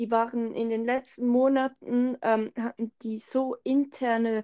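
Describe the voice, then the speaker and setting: In a quiet background with a dry, close sound and no echo, a woman speaks very slowly at a fairly high pitch, her tone dark and mellow and her intonation fairly even. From Switzerland. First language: Swiss German (speaking German). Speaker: podcast co-host. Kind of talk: casual chat.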